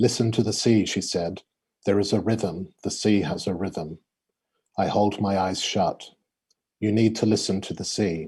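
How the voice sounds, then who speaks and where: Fairly low-pitched and dark, mellow in tone, a man speaks with an Australian accent and fairly even intonation. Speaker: poet. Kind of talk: reading aloud; casual chat. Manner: halting.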